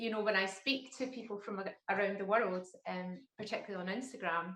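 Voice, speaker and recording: In a Glaswegian accent, a woman speaks at a fairly quick pace, her medium pitch holding a fairly even intonation. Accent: broad Glaswegian. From Glasgow, Scotland. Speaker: crime and thriller writer. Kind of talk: casual interview chat.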